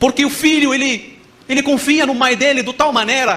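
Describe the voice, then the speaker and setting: A raised, projected voice moves at a moderate pace over noticeable background noise. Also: man. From Morocco. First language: Arabic (speaking Portuguese). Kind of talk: testimony.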